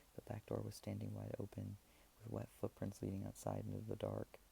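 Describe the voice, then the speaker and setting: Soft-spoken, a man talks at a fairly quick pace. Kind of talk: horror story narration read aloud.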